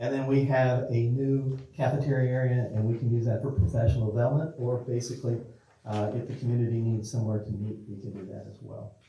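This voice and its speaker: Amid audible room echo and noticeable background noise, a man talks very fast at medium pitch with fairly even intonation and big swings in loudness. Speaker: school district official presenting to city council. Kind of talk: public meeting presentation. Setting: city council meeting. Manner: informal, repetitive with restarts.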